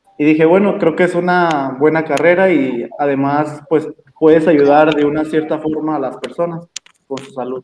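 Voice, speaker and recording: A normal speaking voice from a man, fairly high in pitch, at a moderate pace with fairly even intonation. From Mexico, Jalisco. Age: 20s. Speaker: dental intern. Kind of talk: interview. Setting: video call.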